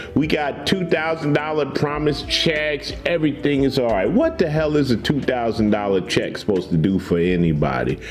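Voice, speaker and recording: Over background music, a man speaks at a moderate pace and a fairly high pitch in a relaxed tone. His loudness stays very even while his pitch swings very widely. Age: 60s. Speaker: cigar reviewer and truck owner. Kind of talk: casual vlog chat. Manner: relaxed, laid-back.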